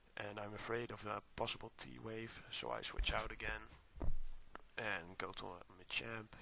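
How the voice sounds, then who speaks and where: A man talks at a very slow pace. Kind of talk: video game commentary. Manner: inexperienced, hesitant narration.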